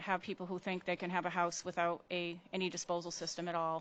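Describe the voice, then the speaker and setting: The background stays quiet. This woman's voice sits at a medium pitch. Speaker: municipal consultant. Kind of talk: presentation at a council meeting. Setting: council meeting. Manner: fast.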